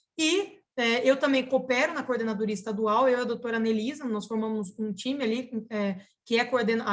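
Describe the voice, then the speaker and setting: A woman speaks at a fairly quick pace with a fairly high pitch and fairly even intonation. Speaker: public prosecutor. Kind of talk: webinar lecture. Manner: fast.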